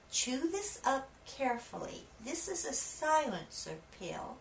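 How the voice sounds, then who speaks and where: A woman speaks very slowly in a calm tone, using a put-on character voice over clear background noise. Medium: read story. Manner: calm, reassuring.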